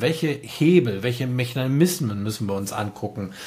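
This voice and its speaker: A man's lively intonation rises above noticeable background noise. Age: 50s. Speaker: music producer and storytelling consultant. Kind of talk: casual chat.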